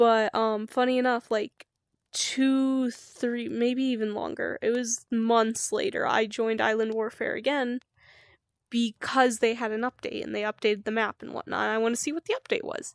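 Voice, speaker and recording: This woman has an unremarkable speaking voice, fairly high in pitch, with fairly even intonation. The recording is very clean and dry, close and echo-free, over a silent background. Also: moderate pace. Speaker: streamer. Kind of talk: casual storytelling monologue.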